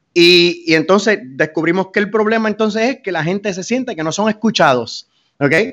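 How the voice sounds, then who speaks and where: A man talks with a Puerto Rican accent at a high pitch. His pace is moderate and the background is quiet. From Puerto Rico, Fajardo. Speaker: mayoral candidate, military veteran. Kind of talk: interview.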